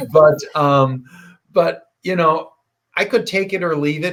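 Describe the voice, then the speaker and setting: A man with an ordinary speaking voice talks at a fairly slow pace. His intonation is lively. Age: 60s. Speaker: podcast host and health coach. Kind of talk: casual interview chat.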